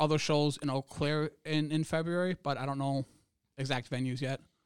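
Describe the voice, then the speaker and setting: A man with an American accent talks in a plain, everyday voice, fairly high in pitch, at a moderate pace. His intonation is fairly even, and the very clean recording has a silent background and a dry, close sound with no echo. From Wisconsin, US. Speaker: comedian. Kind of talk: casual chat.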